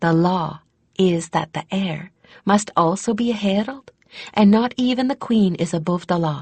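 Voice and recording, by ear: A natural voice reads aloud, its pitch rising and falling in an ordinary way, with little sound behind it.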